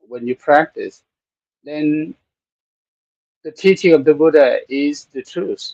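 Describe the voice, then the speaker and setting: Speaking very slowly with a Thai accent, a man is heard in a dry, close sound with no echo. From Thailand. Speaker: Buddhist monk and meditation teacher. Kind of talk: live-streamed talk on Buddhism. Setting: temple studio, live stream. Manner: halting, many fillers.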